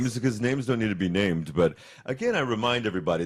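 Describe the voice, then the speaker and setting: In a very clean recording with a silent background, someone speaks very fast with an American accent. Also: man. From United States. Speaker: radio host. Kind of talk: casual chat.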